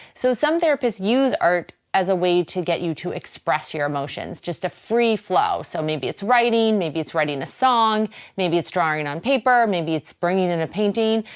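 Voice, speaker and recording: A medium-pitched woman's voice with a slight Boston accent and lively intonation. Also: moderate pace, hardly any pauses. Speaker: wellness show host. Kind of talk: talk show monologue. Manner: casual, conversational.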